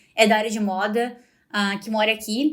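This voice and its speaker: A woman with a fairly high pitch speaks at a moderate pace with fairly even intonation. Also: very clean recording, silent background. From Brazil. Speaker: podcast host and fashion master's student. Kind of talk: casual podcast monologue. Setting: recorded in front of university building. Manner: conversational with frequent hesitations.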